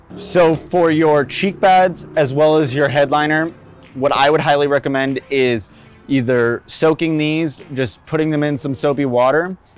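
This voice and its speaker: Faint music plays behind a man who speaks fairly slowly with ordinary pitch variation, his voice dry with no echo. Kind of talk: tutorial.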